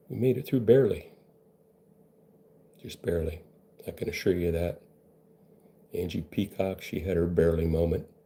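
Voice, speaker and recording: At a moderate pace with long, frequent pauses, a man with a very deep, low pitch speaks in a dark, mellow, somewhat breathy tone with ordinary pitch variation. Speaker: benzo recovery coach. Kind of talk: monologue to camera. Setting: live video stream. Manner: casual, rambling delivery.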